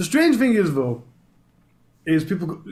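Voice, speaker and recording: Here a man speaks with a Yorkshire accent. His pitch is high. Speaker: true crime YouTuber. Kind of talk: casual chat.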